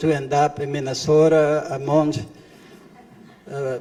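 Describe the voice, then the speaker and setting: A man with a Spanish accent speaks fairly slowly in a fairly high, flat monotone. Background noise is noticeable. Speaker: refugee witness. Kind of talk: testimony. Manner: halting.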